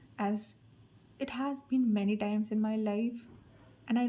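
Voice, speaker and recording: A woman speaks at a fairly slow pace in a fairly high pitch, with monotone, flat intonation. Her voice is somewhat breathy, with a dark, mellow tone. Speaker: tarot card reader. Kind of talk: collective tarot reading.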